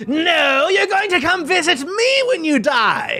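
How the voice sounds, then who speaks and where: Faint music plays in the background. The voice is a gravelly, put-on character voice. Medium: actual play. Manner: playful, gleeful.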